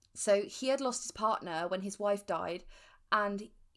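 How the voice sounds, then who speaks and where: At a moderate pace, the speaker talks with an English accent over a silent background in a very clean recording. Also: woman. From England. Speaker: true crime podcast co-host. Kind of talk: casual chat with narrated case storytelling.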